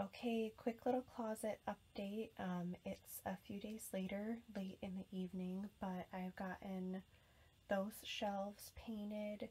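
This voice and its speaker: A woman speaks at a very slow pace with a medium pitch and a dark, mellow, somewhat breathy tone. Her intonation stays monotone and flat. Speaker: lifestyle vlogger. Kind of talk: casual vlog. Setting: in her closet at home. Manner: soft-spoken.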